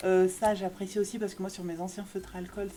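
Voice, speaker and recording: A woman with a medium pitch speaks in an animated tone at a fairly quick pace. Noticeable background noise is present. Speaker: YouTuber reviewing art supplies. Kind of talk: product haul video. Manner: fast; animated, lots of hesitation fillers.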